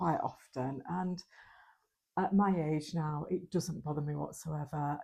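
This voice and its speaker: A woman in a northern English accent speaks with a fairly low pitch, a dark, mellow tone and a somewhat breathy quality. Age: 50s. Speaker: lifestyle vlogger. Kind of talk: vlog talk to camera. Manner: casual, hesitant with ums.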